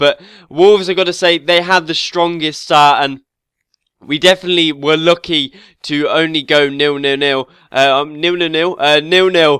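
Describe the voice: At a moderate pace, the nasal voice carries a clear, smooth yet bright, sharp tone with fairly even intonation. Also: man, fairly high pitch for a man.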